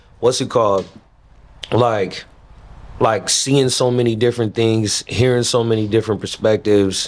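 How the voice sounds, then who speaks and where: At a moderate pace and medium pitch, a man speaks with monotone, flat intonation and very even loudness, leaving long, frequent pauses. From Missouri, moved around the US. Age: 40s. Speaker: rapper. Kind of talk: casual interview.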